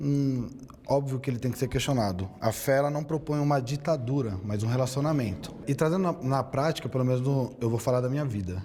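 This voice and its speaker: A man speaks at a fairly quick pace with a medium pitch and ordinary pitch variation. Noticeable background noise sits behind him. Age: 30s. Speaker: theologian and debater. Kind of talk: debate statement.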